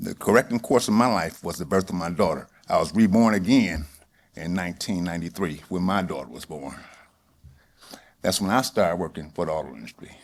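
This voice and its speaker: Using vocal fry, a man with a very deep, low pitch talks at a fairly quick pace, with lively intonation and big swings in loudness. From Detroit, Michigan. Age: 60s. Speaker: auto industry worker. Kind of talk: personal reflection speech. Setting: stage with audience.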